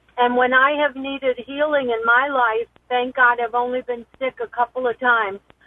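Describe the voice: A woman speaks at a moderate pace with a fairly high pitch. There is little pitch movement, and the sound is dry and close with no echo.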